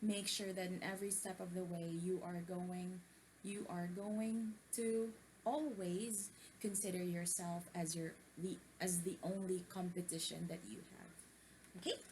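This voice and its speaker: A soft-spoken woman talks at a fairly slow pace and medium pitch, her intonation fairly even. Noticeable background noise and audible room echo fill the recording. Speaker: book-reading vlogger. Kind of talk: reading aloud with commentary. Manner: hesitant, many fillers.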